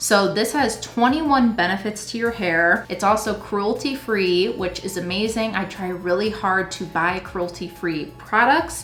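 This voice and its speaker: A woman at a moderate pace with ordinary pitch variation, amid noticeable background noise. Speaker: beauty YouTuber. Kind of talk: tutorial. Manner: casual and chatty.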